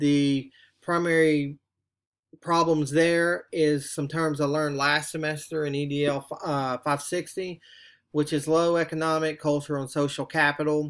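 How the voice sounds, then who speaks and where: Over a very clean recording with a silent background, a man speaks at a fairly slow pace. His pitch is fairly high and his intonation is monotone and flat. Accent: Southern US. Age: middle-aged. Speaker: graduate student. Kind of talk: reflective monologue for a class assignment. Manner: halting, with frequent fillers.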